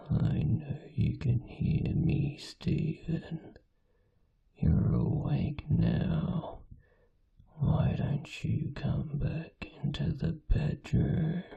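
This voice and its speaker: A man's put-on character voice, gravelly and fairly high-pitched, at a very slow pace. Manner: eerie, beckoning.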